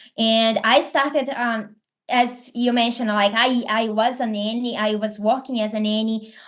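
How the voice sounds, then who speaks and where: Over a quiet background, a woman with a Brazilian accent and a fairly high pitch speaks at a moderate pace with fairly even intonation. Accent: Brazilian, non-native English. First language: Portuguese. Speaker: affiliate marketing entrepreneur. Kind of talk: podcast interview. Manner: hesitant, many fillers.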